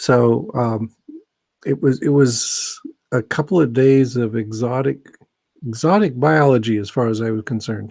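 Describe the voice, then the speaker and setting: This man has an ordinary speaking voice with an American accent and ordinary pitch variation. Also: medium pitch for a man, moderate pace. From US Pacific Northwest (Seattle). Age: 60s. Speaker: biology professor. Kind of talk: casual monologue. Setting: live video stream. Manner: rambling with frequent fillers.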